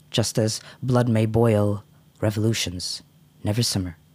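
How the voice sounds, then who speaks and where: A somewhat breathy voice speaks with an American accent. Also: man. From United States. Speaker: poet and cultural activist. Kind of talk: poetry reading; casual chat. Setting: studio.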